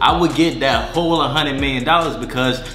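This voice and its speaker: Music plays in the background as a man with fairly high pitch speaks amid audible room echo. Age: 20s. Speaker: entrepreneur and finance YouTuber. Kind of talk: casual vlog talk to camera. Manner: animated.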